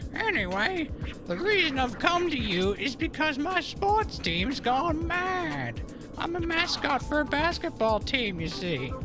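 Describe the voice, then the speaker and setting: Over loud background music, a man uses a put-on character voice at a fairly slow pace. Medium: short film.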